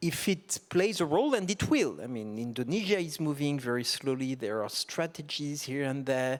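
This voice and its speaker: A man with a French accent and a fairly high pitch speaks at a moderate pace with lively intonation and hardly any pauses, in a very clean recording with a silent background. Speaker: tax policy expert, panelist. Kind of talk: panel discussion. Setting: conference stage with audience.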